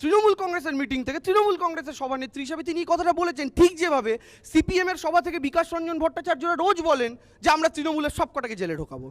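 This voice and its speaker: Pitch variation is ordinary. The sound is dry and close, with no echo. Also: man, extremely high pitch for a man. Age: 20s. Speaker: political party spokesperson on TV panel. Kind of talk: televised political debate. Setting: TV studio.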